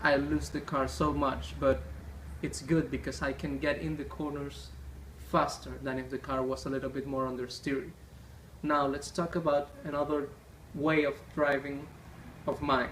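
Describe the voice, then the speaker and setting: A man speaks with a non-native accent, leaving long, frequent pauses. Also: moderate pace. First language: not English. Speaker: gaming YouTuber. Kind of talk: gameplay tutorial.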